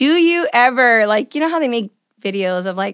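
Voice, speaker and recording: A woman uses an ordinary speaking voice at a fairly high pitch. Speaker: podcast host. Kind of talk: casual chat. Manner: excitable.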